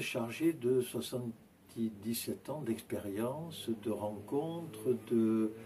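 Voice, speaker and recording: Speaking very slowly, a man with a dark, mellow, somewhat breathy voice keeps a medium pitch with ordinary pitch variation. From Provence, France (near Avignon). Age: 70s. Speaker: Orthodox priest. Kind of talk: interview, life story. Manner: hesitant, many filler sounds.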